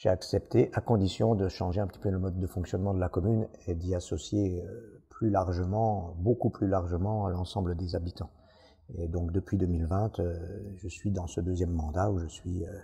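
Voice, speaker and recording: Against a quiet background, a man with a very deep, low pitch and a dark, mellow, somewhat breathy tone speaks at a moderate pace with fairly even intonation. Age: 60s. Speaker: village mayor. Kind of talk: interview monologue. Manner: hesitant, many fillers.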